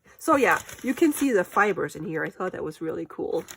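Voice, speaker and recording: Her fairly high voice swings very widely in pitch as this woman speaks. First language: German. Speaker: crafter. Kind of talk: casual craft vlog. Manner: chatty, thinking aloud.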